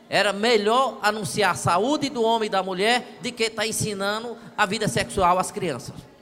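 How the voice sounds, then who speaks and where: Noticeable background noise sits behind a man speaking at a moderate pace with hardly any pauses. His pitch is high, with ordinary variation. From Brazil, near Luziânia (Goiás). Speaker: audience member. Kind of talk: audience testimony.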